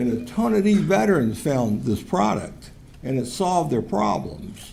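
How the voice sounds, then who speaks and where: With an American accent, a man speaks amid audible room echo and noticeable background noise. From Virginia, Richmond. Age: 60s. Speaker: public commenter, recovery advocate. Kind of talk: public comment at council meeting.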